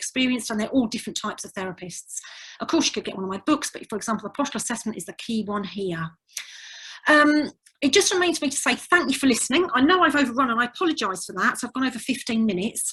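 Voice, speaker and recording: Speaking very fast in an English accent, this voice has a bright, sharp tone, lively intonation and big swings in loudness. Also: woman. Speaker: physiotherapist and tutor. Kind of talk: webinar lecture. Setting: online webinar.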